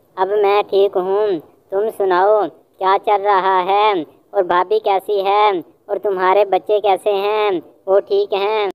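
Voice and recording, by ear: A cartoonish character voice that sounds female is put on at a middle pitch. Its intonation stays flat and monotone.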